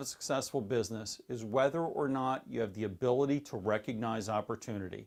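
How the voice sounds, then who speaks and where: Here is a man with an unremarkable speaking voice. He keeps a moderate pace and ordinary pitch variation. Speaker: course instructor. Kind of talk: online course lecture.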